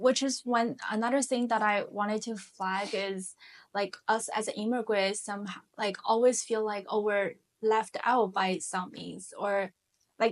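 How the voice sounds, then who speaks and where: A woman's fairly high voice in a Chinese accent, fairly even in intonation, against a quiet background. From China, Shanghai. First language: Mandarin Chinese. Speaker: finance professional, immigrant. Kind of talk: interview conversation.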